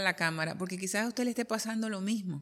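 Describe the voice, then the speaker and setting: In a very clean recording with a silent background, a woman speaks very fast at a medium pitch with ordinary pitch variation. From Colombia. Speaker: interviewer, journalist. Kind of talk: casual interview conversation.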